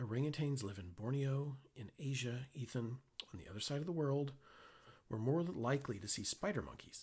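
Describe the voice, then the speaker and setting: Here a man talks at a fairly quick pace with an American accent. His medium-pitched voice is somewhat breathy, with ordinary pitch variation. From Oklahoma, US. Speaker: author. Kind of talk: reading aloud.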